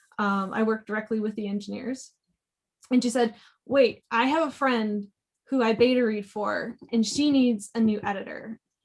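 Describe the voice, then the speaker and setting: Somewhat breathy woman, fairly high in pitch, at a moderate pace with fairly even intonation. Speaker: technical editor. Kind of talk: panel talk.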